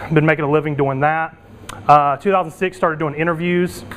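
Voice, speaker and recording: A man speaks at a very fast pace with a fairly high pitch. His intonation stays fairly even against noticeable background noise. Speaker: internet entrepreneur and conference speaker. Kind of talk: conference presentation.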